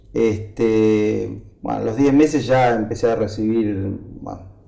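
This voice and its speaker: Over noticeable background noise and audible room echo, a man at medium pitch speaks fairly slowly with fairly even intonation. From Argentina, Buenos Aires city. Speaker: agronomist and agribusiness association president. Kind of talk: interview. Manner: hesitant, filler-heavy.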